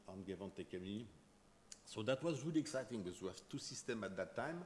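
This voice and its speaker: A man speaks with a French accent. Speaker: chemistry professor. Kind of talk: lecture. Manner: fast.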